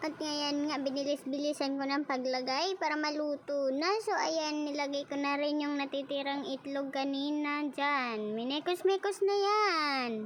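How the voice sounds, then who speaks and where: A high-pitched woman at a fairly slow pace, ordinary pitch variation and hardly any pauses. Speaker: cooking vlogger. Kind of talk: casual cooking tutorial. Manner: slurred, lisping speech; casual, chatty.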